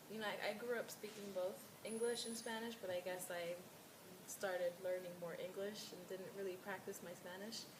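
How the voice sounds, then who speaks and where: Against noticeable background noise and audible room echo, a woman talks at a moderate pace. Her pitch is medium and her intonation is monotone and flat. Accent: American. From New York, US. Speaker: client (role-play). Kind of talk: role-play counseling session.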